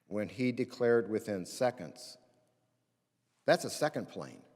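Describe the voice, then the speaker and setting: Ordinary pitch variation comes through in an American accent. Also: man. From Indiana, US Midwest. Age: 60s. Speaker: pastor. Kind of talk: chapel talk. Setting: chapel with student audience.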